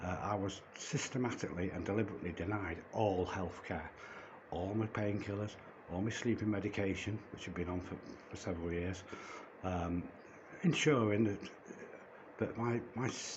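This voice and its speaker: A man with a British accent and fairly low pitch, fairly even intonation at a moderate pace, long, frequent pauses, noticeable background noise and audible room echo. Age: 60s. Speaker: vlogger. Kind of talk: personal testimony vlog. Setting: holding a phone. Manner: halting with stammered repetitions; agitated.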